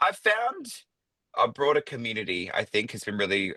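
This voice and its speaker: Heard dry and close without any echo, the man's speech moves along fairly quickly. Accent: Australian. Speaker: drag performer. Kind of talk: casual chat.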